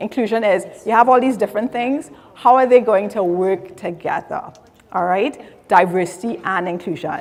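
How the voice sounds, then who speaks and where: A woman in a Trinidadian accent, at a moderate pace. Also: medium pitch for a woman, ordinary pitch variation. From Trinidad and Tobago. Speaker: diversity and inclusion specialist. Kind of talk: conference talk.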